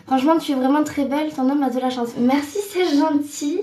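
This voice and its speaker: A woman talks at a moderate pace as noticeable background noise plays behind her. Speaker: trainee voice actress. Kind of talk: casual live stream talk. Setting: bathroom.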